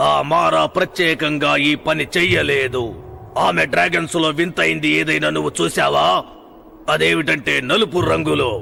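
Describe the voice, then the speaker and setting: A man puts on a character voice and speaks at a fairly slow pace. Clear background noise can be heard. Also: medium pitch for a man. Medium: fan dub. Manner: solemn, measured.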